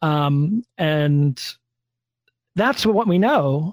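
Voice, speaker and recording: A normal speaking voice with lively intonation, dry and close with no echo. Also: man. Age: 40s. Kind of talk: casual chat.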